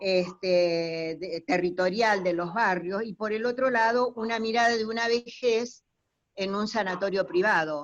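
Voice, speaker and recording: A woman speaks with a Rioplatense accent. Her pace is fairly slow. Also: medium pitch for a woman, ordinary pitch variation. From Argentina, Buenos Aires area (Lomas de Zamora). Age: 60s. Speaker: university lecturer, audience participant. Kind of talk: comment in an online talk Q&A. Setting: video call from home. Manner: halting, many fillers.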